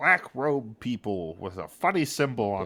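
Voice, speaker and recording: A man puts on a character voice at medium pitch. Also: moderate pace. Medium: actual play. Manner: broken grammar, halting, third person.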